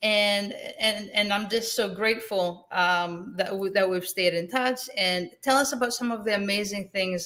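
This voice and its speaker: At a fairly slow pace, a woman with a Greek accent speaks at medium pitch with ordinary pitch variation. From Greece. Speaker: real estate investor, event host. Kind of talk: online summit interview. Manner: animated.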